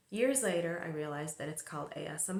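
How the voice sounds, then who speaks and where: A soft-spoken woman with a fairly low voice and a relaxed tone, talking at a fairly quick pace amid noticeable background noise. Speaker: filmmaker and movie channel host. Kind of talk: casual movie talk to camera. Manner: soft-spoken, ASMR-style.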